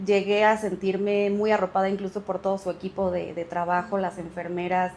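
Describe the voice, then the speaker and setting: A woman speaks in a monotone, flat intonation at a medium pitch. Her pace is fairly quick. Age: 30s. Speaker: patient giving testimonial. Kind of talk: testimony.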